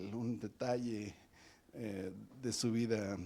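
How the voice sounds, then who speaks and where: The man's tone is dark and mellow. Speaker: professor hosting a weekly seminar. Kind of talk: speaker introduction, reading a bio aloud. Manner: fast reading.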